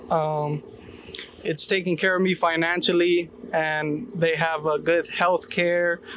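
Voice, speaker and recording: Over noticeable background noise, a high-pitched man talks at a very slow pace, his intonation fairly even and his loudness very even. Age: 20s. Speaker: ironworker apprentice. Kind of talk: on-site interview. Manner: hesitant, many fillers.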